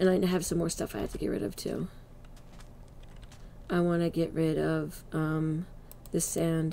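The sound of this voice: A woman speaks at a fairly slow pace with low pitch, a dark, mellow tone and vocal fry. Her pitch barely moves.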